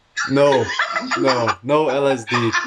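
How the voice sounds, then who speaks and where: A man speaks with fairly even intonation, and noticeable background noise can be heard. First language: not English. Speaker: band member. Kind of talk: casual interview. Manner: halting.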